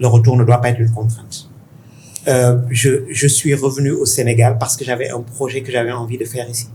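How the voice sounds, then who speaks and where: A man's somewhat breathy, dark, mellow voice at medium pitch, fairly quick in pace, with monotone, flat intonation. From Senegal (Dakar). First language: Pulaar (speaking French). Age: 50s. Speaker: tech investor. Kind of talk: interview conversation. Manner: halting.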